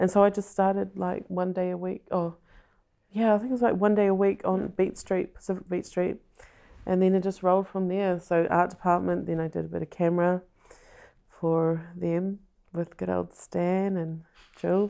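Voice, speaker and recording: A woman speaks with a New Zealand accent in a dark, mellow tone. Her intonation is monotone and flat. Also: medium pitch for a woman, moderate pace. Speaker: film director. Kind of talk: casual chat.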